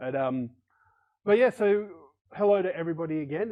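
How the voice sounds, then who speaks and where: With an Australian accent, a man talks using lively intonation. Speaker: podcast co-host. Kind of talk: casual chat.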